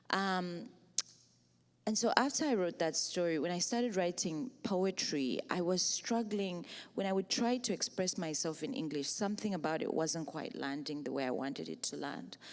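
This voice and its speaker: A woman with a Zambian accent speaks at a moderate pace. Her pitch is fairly low and her intonation lively. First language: Bemba. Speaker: writer and poet. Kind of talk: panel discussion. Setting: stage with audience.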